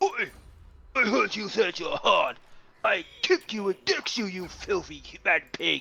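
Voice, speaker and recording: Someone in a put-on character voice with a Cockney accent speaks at a fairly slow pace and fairly high pitch, taking long, frequent pauses. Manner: aggressive.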